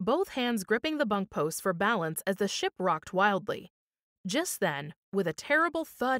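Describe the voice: It is plain reading aloud. No noise intrudes from the quiet background.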